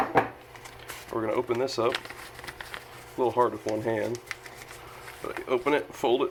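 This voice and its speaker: Amid noticeable background noise, a man of medium pitch talks at a moderate pace in a monotone, flat intonation, with long, frequent pauses. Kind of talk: casual how-to talk to camera.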